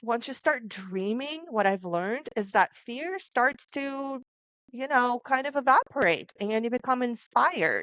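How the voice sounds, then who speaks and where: A woman with a non-native accent talks at a fairly slow pace, her high pitch carried by lively intonation. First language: not English. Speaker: podcast co-host, author. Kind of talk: casual panel discussion.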